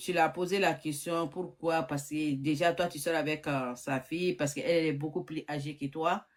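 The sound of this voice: Speaking with fairly even intonation, a woman has a low-pitched voice. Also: moderate pace.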